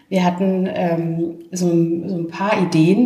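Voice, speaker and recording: There is noticeable background noise and audible room echo. Through it, a woman speaks at a fairly low pitch. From Franconia, Germany (Main valley near Würzburg). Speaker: wine project founder. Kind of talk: casual chat. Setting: at a winery during a tasting.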